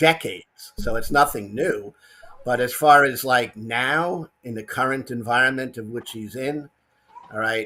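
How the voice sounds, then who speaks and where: A man with a New York accent talks at medium pitch, with ordinary pitch variation. His pace is fairly slow and his loudness swings widely. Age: 60s. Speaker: caller. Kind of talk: casual chat.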